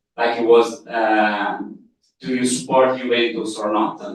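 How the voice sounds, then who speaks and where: A man speaks at a medium pitch with an Italian accent. Room echo is audible around his voice. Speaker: journalist. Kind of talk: seminar talk. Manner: halting, with many fillers.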